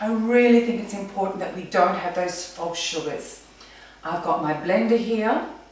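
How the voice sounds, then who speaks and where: With an Australian accent, a woman speaks at a medium pitch and moderate pace, her ordinary pitch variation carried in strong room echo. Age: 40s. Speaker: personal trainer. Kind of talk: tutorial. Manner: casual. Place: kitchen. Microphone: camera far.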